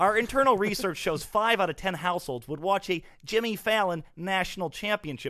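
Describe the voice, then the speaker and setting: Projecting in a raised voice, a man speaks at a high pitch with a bright, sharp tone and lively intonation on a very clean recording with a silent background. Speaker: sports comedy podcast host, plays a fake marketing expert guest in a bit. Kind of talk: casual comedy banter with sketch bits.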